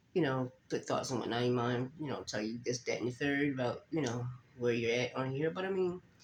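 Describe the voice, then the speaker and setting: The speaker is a man with a medium-pitched voice. He talks fairly quickly with ordinary pitch variation. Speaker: faith vlogger. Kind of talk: casual vlog talk.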